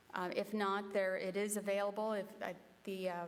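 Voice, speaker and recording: Here a woman uses a normal speaking voice at a medium pitch. Her pace is moderate. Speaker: civic association meeting chair. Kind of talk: public meeting chairing.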